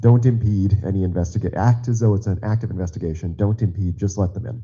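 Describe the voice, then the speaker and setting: A man talks at a very fast pace with a fairly low pitch. He sounds somewhat breathy, with fairly even intonation. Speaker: party committee member. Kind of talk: public meeting remarks. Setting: meeting auditorium.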